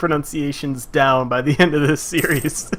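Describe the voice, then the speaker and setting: A man speaks with an American accent. Noticeable background noise runs beneath him. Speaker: video game streamer. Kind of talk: live gameplay commentary. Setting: live stream. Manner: animated.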